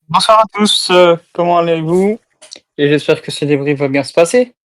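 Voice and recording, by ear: This speaker talks with a Belgian accent. The pace is moderate.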